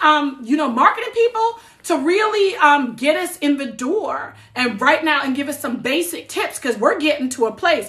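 Against a quiet background, a woman with an American accent projects a raised, bright, sharp voice at a high pitch and moderate pace, with very wide pitch swings. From New Jersey. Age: 40s. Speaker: social media creator. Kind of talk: casual livestream talk. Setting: TikTok livestream. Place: home room. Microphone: phone near.

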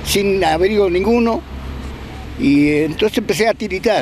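Very slowly, a man talks. The sound is dry with no echo, with light background noise. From Argentina, Bariloche. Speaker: former political detainee. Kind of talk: testimony. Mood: somber, reflective recounting. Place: open country. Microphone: handheld.

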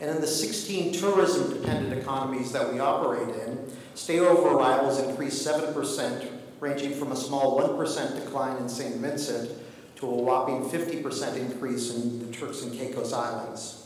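Strong room echo fills the recording, along with light background noise. Pitch variation is ordinary. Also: man, moderate pace. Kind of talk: formal conference speech. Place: hall. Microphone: podium.

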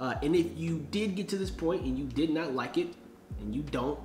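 The voice moves at a moderate pace, with audible room echo and light background noise. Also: man. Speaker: vlogger host. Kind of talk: casual vlog chat. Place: home room. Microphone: camera far.

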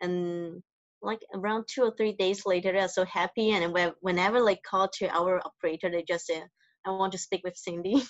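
A woman speaks with fairly even intonation in a dry sound with no echo and a quiet background. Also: moderate pace. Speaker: hotel front office manager. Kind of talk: interview. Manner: soft-spoken; halting. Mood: soft-spoken, warm. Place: home room. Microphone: video call.

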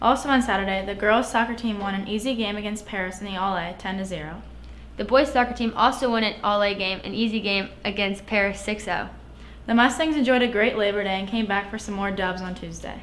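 Over light background noise, a woman speaks at a fairly quick pace with fairly even intonation. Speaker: student sports news anchor. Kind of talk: news reading. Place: studio.

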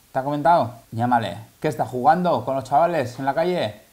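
Lively intonation and a fairly quick pace come through with audible room echo. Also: man, slightly mellow tone.

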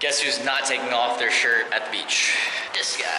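A man at a fairly quick pace, with music in the background. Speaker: travel vlogger. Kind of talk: casual vlog chat. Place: street. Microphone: phone near.

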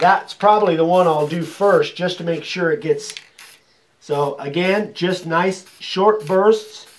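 Here a man speaks at a very slow pace. His pitch is high, and his intonation stays fairly even. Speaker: sign carving craftsman. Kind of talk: tutorial. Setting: workshop. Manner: mumbling; quiet. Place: workshop.

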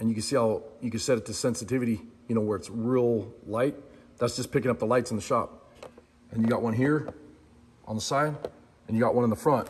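Light background noise accompanies a voice with ordinary pitch variation. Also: man. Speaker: product reviewer. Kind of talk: casual product review chat. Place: workshop. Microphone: phone near.

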